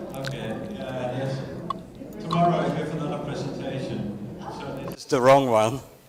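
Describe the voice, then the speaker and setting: Amid noticeable background noise and audible room echo, a man with a medium-pitched voice talks at a moderate pace with long, frequent pauses, ordinary pitch variation and big swings in loudness. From Netherlands. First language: Dutch. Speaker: literacy program representative. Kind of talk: conference presentation.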